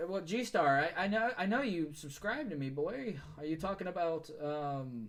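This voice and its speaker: At a moderate pace, a man speaks in a high voice with lively intonation. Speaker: game developer and streamer. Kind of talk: casual chat. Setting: live stream. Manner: stutters when drawing.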